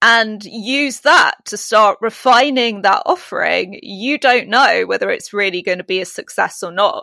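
A woman with a fairly high pitch speaks at a fairly slow pace, her tone bright and sharp in a dry, close sound with no echo. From Britain. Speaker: leadership coach. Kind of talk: interview. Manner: articulate.

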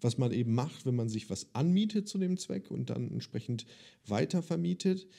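At a moderate pace, a man with a medium pitch and a dark, mellow tone makes very wide pitch swings in a very clean recording with a silent background. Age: 30s. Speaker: podcast host and business coach. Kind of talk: interview; sales pitch.

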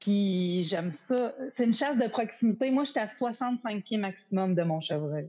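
With a Quebec accent, a woman speaks in a dark, mellow, somewhat breathy voice, using lively intonation, hardly any pauses and very even loudness. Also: fairly high pitch for a woman, fairly slow pace. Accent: Québécois French. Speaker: hunter, small business owner. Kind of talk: casual chat.

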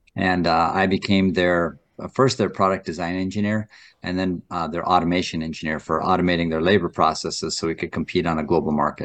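A man's very deep, low voice at a fairly quick clip, fairly even in intonation, with hardly any pauses and a quiet background. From North Dakota. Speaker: author and former fighter pilot. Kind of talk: interview. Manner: halting.

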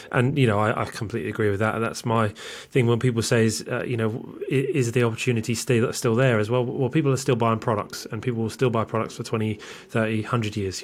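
Speaking very fast with a British accent, a man keeps his intonation fairly even. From UK. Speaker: podcast host. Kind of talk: interview.

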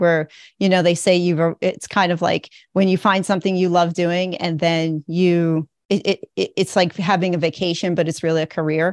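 Against a quiet background, a woman speaks in a fairly low voice at a moderate pace. Her intonation is monotone and flat, her loudness very even, and the sound dry and close with no echo. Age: 50s. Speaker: educator turning to financial advising. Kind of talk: coaching session.

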